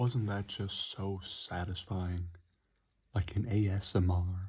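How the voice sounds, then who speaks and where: Whispering in a soft-spoken, somewhat breathy way, a man talks at a very slow pace with a calm tone. The recording is very clean, with a silent background. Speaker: energy drink reviewer. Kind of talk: ASMR-style product review. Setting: close to the mic. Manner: whispering, very quiet; soft and calm.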